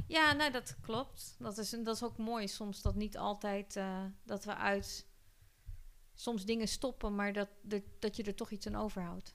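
Speaking at a fairly slow pace, a woman uses a normal speaking voice with medium pitch and ordinary pitch variation. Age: 40s. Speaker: podcast host. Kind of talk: casual chat.

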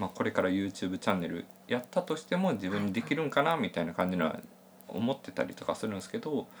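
Very fast and fairly low-pitched, this man's voice swings very widely in pitch. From Hyogo, Japan. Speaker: freelance IT engineer and podcast co-host. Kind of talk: casual chat. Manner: hesitant, many fillers.

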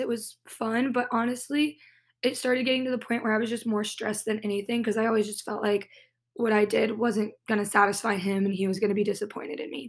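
A woman's unremarkable speaking voice with an American accent, fairly high in pitch, at a fairly quick pace with ordinary pitch variation. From Southern California. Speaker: podcaster, former competitive dancer. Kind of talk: personal storytelling monologue. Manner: casual, filler-heavy.

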